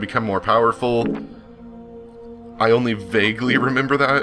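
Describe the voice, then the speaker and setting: Against music in the background, a man with a medium pitch talks at a moderate pace. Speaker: let's play gamer. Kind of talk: casual gameplay commentary.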